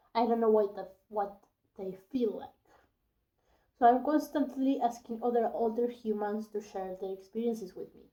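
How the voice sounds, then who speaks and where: Speaking at a moderate pace with a non-native accent, a woman has a dark, mellow tone and a fairly high pitch. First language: not English. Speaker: youtuber. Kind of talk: casual vlog with reading aloud. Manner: halting, with hesitations.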